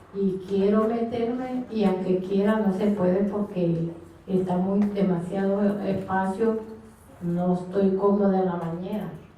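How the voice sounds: A soft-spoken woman talks at a fairly slow pace in a medium pitch with fairly even intonation. Her tone is dark and mellow, and the room echoes strongly.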